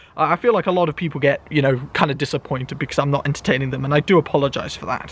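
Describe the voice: Loud and fast, a man talks at a fairly high pitch with ordinary pitch variation.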